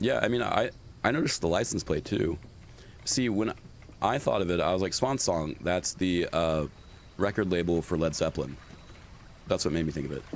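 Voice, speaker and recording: A gravelly man with a very deep, low pitch talks at a fairly quick pace, with long, frequent pauses. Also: lively intonation. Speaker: streamer. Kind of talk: live gameplay commentary. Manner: casual, halting.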